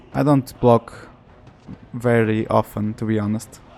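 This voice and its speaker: Over noticeable background noise, a man talks at a very slow pace and a medium pitch. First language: Portuguese. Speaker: gaming YouTuber. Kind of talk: let's play commentary. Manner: halting, self-correcting.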